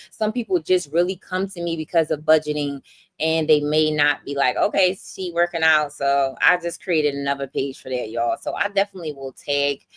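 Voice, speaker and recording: With a Philadelphia accent, a woman talks in an animated tone at a fairly quick pace, the sound dry and close with no echo. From Philadelphia, US. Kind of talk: livestream chat with viewers.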